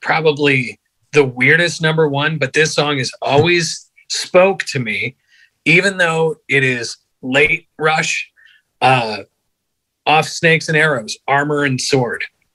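At a very slow pace, a man speaks with a bright, sharp tone and ordinary pitch variation against a quiet background. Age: 30s. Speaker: bass player; podcast guest. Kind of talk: casual chat. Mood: relaxed, reflective. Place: home room. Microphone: phone near.

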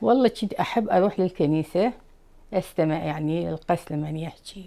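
A woman's very deep, low voice in an Iraqi accent, dark and mellow in tone, at a moderate pace against a quiet background. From Baghdad, Iraq. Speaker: Chaldean immigrant from Iraq. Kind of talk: interview answer. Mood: calm, measured. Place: home room.

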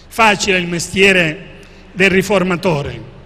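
A man with a high-pitched, raised, projected voice speaks at a very slow pace. Noticeable background noise sits behind him. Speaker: archbishop and author. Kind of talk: book presentation talk.

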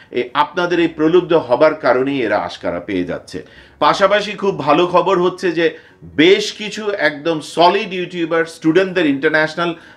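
High-pitched male voice with ordinary pitch variation. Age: 50s. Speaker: YouTuber and teacher; YouTuber, teacher. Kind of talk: vlog monologue. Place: home room.

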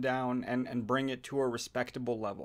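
Moderate-paced speech from a man. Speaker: commentary video maker. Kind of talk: commentary. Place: home room. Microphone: phone near.

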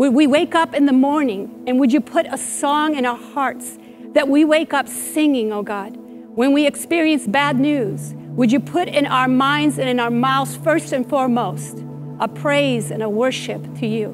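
Speech at a fairly slow pace plays over clear music in the background. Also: woman, high pitch for a woman. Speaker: teaching pastor. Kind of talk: prayer. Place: church. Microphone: lapel.

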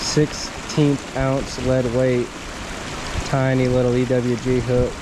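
A man at a very slow pace, with noticeable background noise. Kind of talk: casual vlog chat. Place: waterside. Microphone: camera far.

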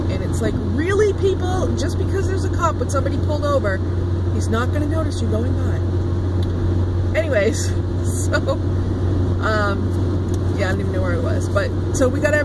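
At a moderate pace broken by long, frequent pauses, the dry voice with no echo competes with loud background noise. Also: woman. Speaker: vlogger driving. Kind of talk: casual vlog chat. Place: car.

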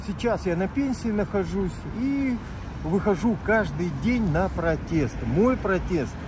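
A man speaks at a very slow pace with lively intonation. The sound is dry with no echo, and background noise is noticeable. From Khabarovsk, Russian Far East. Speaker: retired street protester, activist. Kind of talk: street interview answer. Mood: earnest, critical. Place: street.

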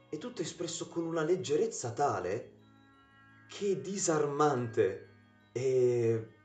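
A man at a very slow pace with long, frequent pauses, audible room echo and faint music in the background. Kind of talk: casual film commentary. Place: home room. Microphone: webcam.

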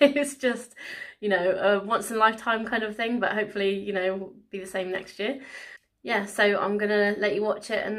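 A woman talks at a moderate pace with fairly even intonation over a quiet background. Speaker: vlogger. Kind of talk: casual vlog chat. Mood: happy, a bit emotional. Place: home room. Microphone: phone near.

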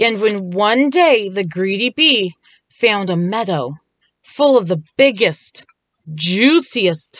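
Against a quiet background, this is a natural reading voice with lively intonation.

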